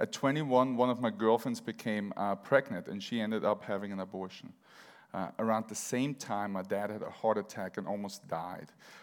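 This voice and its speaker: At a fairly quick pace, a man with an Austrian accent talks in a very clean recording with a silent background. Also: ordinary pitch variation. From Vienna, Austria. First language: German. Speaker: church member sharing testimony. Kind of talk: testimony.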